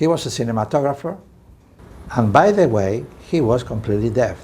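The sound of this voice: Speaking at a moderate pace, a man with medium pitch uses lively intonation and a dark, mellow tone.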